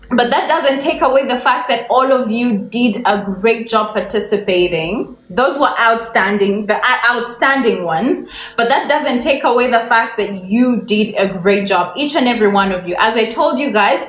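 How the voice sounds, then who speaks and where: Against noticeable background noise and audible room echo, a woman with a fairly high pitch speaks at a moderate pace with lively intonation and hardly any pauses. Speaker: English teacher. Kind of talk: livestream lesson.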